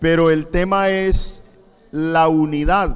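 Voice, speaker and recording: A man's fairly high-pitched voice with audible room echo. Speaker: pastor. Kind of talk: sermon. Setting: church, livestreamed. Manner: slow.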